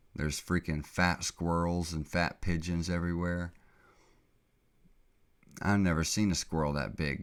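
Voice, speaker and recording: Against a silent background in a very clean recording, a man with a very deep, low voice speaks in a flat monotone, pausing long and often. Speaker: podcast host. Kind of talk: casual podcast talk.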